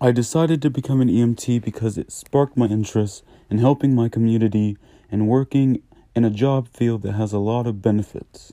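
The voice has a dark, mellow tone and an American accent, with fairly even intonation. It moves at a fairly quick pace on a very clean recording with a silent background. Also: man, medium pitch for a man, dry, close sound with no echo. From Virginia (Newport News). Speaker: emergency medical technician. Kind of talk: scripted podcast intro monologue. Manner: formal.

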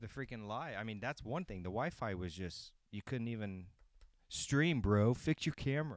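A normal speaking voice from a man, medium in pitch with lively intonation, comes at a moderate pace on a very clean recording with a silent background. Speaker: sports betting picks host. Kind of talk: casual chat. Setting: home recording, live streamed. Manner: casual, relaxed.

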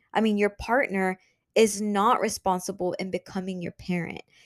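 Recorded with a dry, close sound and no echo, the speaker uses monotone, flat intonation at a moderate pace, in a Spanish accent. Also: woman. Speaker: podcast host. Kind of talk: solo podcast monologue. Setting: home office. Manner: casual, conversational.

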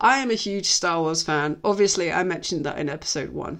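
A woman speaks with an English accent at a fairly low pitch. The background is quiet. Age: 30s. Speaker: podcast host. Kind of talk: casual film review monologue. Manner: chatty, many fillers.

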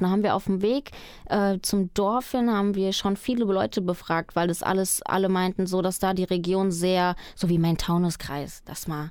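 A woman talks in a normal speaking voice at medium pitch and a moderate pace. The recording is very clean, with a silent background. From Germany, raised from age four after adoption from Colombia. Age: 20s. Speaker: trainee radio presenter and singer-songwriter. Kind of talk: radio interview.

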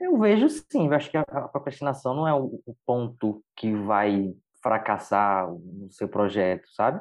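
Here is a man with a normal speaking voice and medium pitch. He talks at a fairly slow pace with ordinary pitch variation. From Brazil, interior of Bahia (Jacobina). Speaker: brand designer and entrepreneur. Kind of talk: casual chat.

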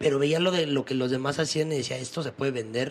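At a fairly quick pace, a man talks in a normal speaking voice. His pitch is medium, with ordinary variation. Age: 20s. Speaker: podcast host. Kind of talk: casual chat.

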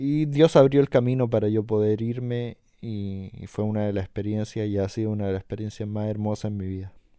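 A man's fairly low voice in a Chilean accent, dark and mellow in tone, at a fairly quick pace with hardly any pauses, fairly even intonation and big swings in loudness, in a very clean recording with a silent background. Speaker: podcast host. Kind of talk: casual interview.

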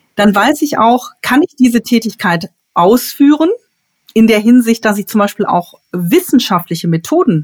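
Somewhat breathy, a woman talks with a fairly high pitch and lively intonation at a moderate pace. The sound is dry and close, with no echo. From Ruhr area, Dortmund (Germany). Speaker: elderly care manager and consultant. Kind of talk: podcast interview.

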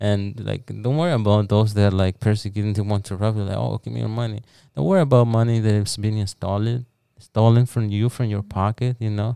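Fairly low and dark, mellow in tone, a man with a Spanish accent talks at a fairly quick pace with fairly even intonation. The sound is dry and close, without echo. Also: very clean recording, silent background. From El Salvador. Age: 20s. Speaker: cleaning business founder. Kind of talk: casual interview. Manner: halting.

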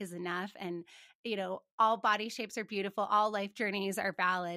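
A woman with an American accent, bright and sharp in tone, at a fairly quick pace with fairly even intonation, in a dry, close recording with no echo. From Montana, US. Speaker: finance professional and podcast host. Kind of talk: interview conversation.

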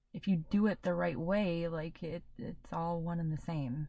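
Somewhat breathy and dark, mellow in tone, a woman speaks at a fairly low pitch with ordinary pitch variation. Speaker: podcast co-host (daughter). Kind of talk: casual chat.

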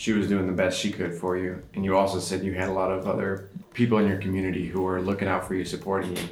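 A man talks at a very fast pace with hardly any pauses, his very deep, low voice flat and monotone. Noticeable noise sits in the background. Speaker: podcast host. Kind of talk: casual interview. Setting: studio, in person at microphones.

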